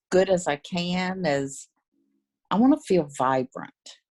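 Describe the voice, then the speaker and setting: Music plays in the background as a woman speaks at a fairly slow pace. Her voice is fairly low, and the sound is dry and close with no echo. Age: 70s. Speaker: essential oils customer. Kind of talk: casual chat.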